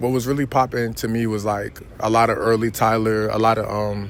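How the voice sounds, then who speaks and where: In a monotone, flat intonation, a man at medium pitch talks at a fairly quick pace. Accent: American. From New York City (Queens). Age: 20s. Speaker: rapper. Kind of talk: interview. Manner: casual, with many fillers.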